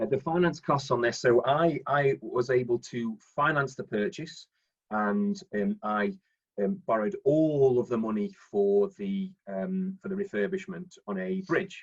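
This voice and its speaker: With a Staffordshire accent, a man speaks at a fairly slow pace in a somewhat breathy, fairly high voice that makes very wide pitch swings. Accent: Stoke-on-Trent (Potteries). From Stoke-on-Trent, English Midlands. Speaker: property investor and finance broker. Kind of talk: presentation on live webinar. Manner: halting, many fillers and repetitions.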